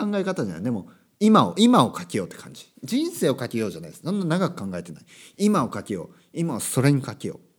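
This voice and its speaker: A man talks at a very fast pace in a fairly high pitch, with vocal fry, very wide pitch swings and big swings in loudness. The recording is very clean, with a silent background. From Japan, Kyushu. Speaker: English and Japanese teacher, podcast host. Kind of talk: casual monologue podcast. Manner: loud, passionate; many fillers and self-corrections.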